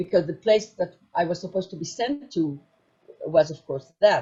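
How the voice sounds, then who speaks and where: A woman with a German accent speaks at a moderate pace, her intonation lively. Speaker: former intelligence agent. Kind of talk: testimony. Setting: virtual conference broadcast. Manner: halting.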